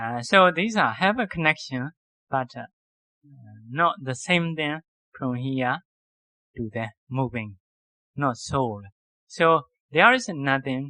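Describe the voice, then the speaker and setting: Speaking at a very slow pace with long, frequent pauses, a man at medium pitch uses lively intonation and big swings in loudness, his tone bright and sharp and the sound dry and close with no echo. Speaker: Buddhist monk teacher. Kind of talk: dharma lecture. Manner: halting.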